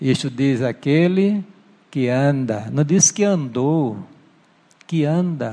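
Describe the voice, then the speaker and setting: A man's fairly high voice at a very slow pace, with lively intonation. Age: 70s. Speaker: pastor. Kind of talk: sermon. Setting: church.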